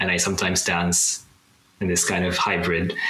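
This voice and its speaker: Against noticeable background noise, a man speaks in a very deep, low pitch with monotone, flat intonation. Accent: Japanese. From Japan. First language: Japanese. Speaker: coder and digital artist. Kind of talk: casual interview. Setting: video call.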